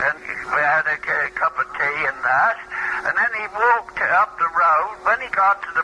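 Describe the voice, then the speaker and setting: A man's raised, projected voice, high in pitch, fairly slow, with lively intonation over noticeable background noise. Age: 80s+. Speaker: retired postmaster and shopkeeper. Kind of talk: casual chat. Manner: halting.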